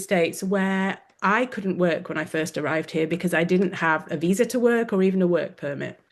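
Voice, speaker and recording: A woman with an English accent speaks at a medium pitch with ordinary pitch variation. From England. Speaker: wellness coach, former orthodontist. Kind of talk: webinar interview.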